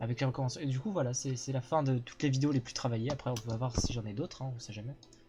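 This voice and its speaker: Against noticeable background noise, the speech runs at a very fast pace with ordinary pitch variation. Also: man, medium pitch for a man. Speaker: streamer. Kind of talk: casual chat. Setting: live stream with guests.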